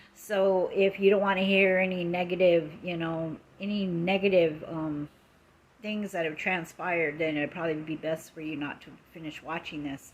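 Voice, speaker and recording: A woman speaks with an American accent at a moderate pace. Her pitch is fairly low, her intonation fairly even, and her loudness swings widely. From Lakota, US Great Plains. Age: 60s. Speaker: social media live streamer. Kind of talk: casual live stream monologue. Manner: halting, many fillers.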